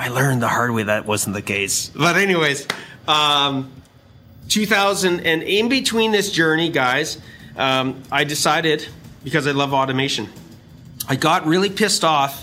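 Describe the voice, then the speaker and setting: Talking at a moderate pace, a man uses a fairly high pitch. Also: lively intonation. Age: 50s. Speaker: business coach and podcast host. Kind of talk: casual chat. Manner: animated.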